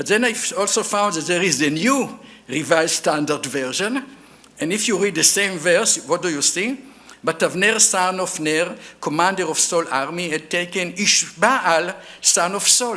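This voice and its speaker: In an Israeli accent, a man with a high pitch talks at a moderate pace with lively intonation, and room echo can be heard. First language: Hebrew. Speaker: archaeologist. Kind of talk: lecture. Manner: halting, with many fillers.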